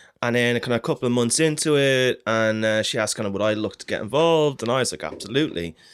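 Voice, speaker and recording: With hardly any pauses, a man talks at a very fast pace in a medium pitch and ordinary pitch variation. The recording is very clean, with a silent background. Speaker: podcast co-host and music marketer. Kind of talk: casual chat. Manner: more animated and higher pitched on air.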